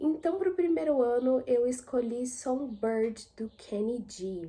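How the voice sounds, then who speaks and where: A dark, mellow tone with lively intonation. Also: woman. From São Paulo city, Brazil. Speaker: YouTuber. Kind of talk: casual vlog monologue.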